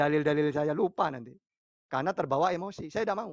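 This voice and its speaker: Against a quiet background, a man speaks with a strong East Java accent. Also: dry sound with no echo. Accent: strong Madurese-tinged East Java. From East Java, Pasuruan. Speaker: Islamic preacher answering questions. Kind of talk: religious debate and Q&A. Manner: firm, forceful-sounding speech. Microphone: phone near.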